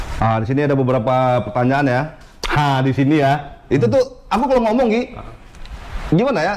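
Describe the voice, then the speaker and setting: A man talks very fast at a fairly high pitch, with very even loudness and long, frequent pauses. Noticeable background noise runs underneath. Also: lively intonation. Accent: Riau. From Riau, Indonesia. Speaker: friend asking viewer questions. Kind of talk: casual Q&A chat.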